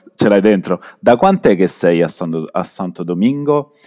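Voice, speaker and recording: A man's dark, mellow voice at a fairly low pitch and fairly slow pace, in a dry, close sound with no echo. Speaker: podcast co-host. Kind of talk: casual chat.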